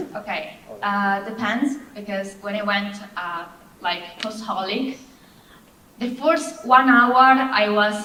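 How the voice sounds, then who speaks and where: A woman with a Japanese accent at a very slow pace, lively intonation, audible room echo and noticeable background noise. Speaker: gravure model. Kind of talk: panel Q&A. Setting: convention panel stage with audience.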